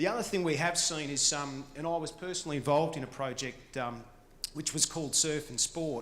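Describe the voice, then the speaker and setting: Speaking with an Australian accent at a fairly quick pace, the voice shows ordinary pitch variation. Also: man. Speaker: conference speaker on apprenticeships. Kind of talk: presentation.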